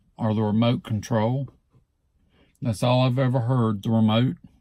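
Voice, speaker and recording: A man with an Alabama accent, medium pitch and a dark, mellow tone, at a moderate pace with fairly even intonation and long, frequent pauses, on a very clean recording with a silent background. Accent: Southern US (Alabama). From Southeast Alabama, USA. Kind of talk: casual talk to camera.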